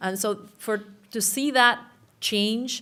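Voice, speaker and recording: A woman with a strong Uruguayan accent speaks with fairly even intonation. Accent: thick Spanish (Uruguayan). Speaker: journalism professor. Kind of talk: panel discussion.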